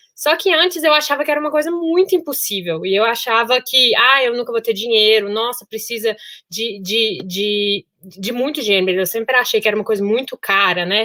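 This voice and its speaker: In a Minas Gerais accent, the speaker moves at a moderate pace with hardly any pauses, a bright, sharp tone and lively intonation. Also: woman, fairly high pitch for a woman. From Brazil, Minas Gerais (Sete Lagoas). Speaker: solo traveler, engineer. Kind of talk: podcast interview.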